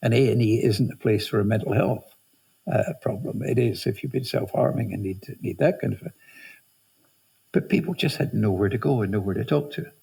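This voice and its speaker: A man talks at a fairly quick pace with lively intonation. His tone is dark and mellow, and somewhat breathy. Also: medium pitch for a man. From Scotland, Highlands (Inverness). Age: 70s. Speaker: charity founder. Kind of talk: interview. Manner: hesitant, many fillers.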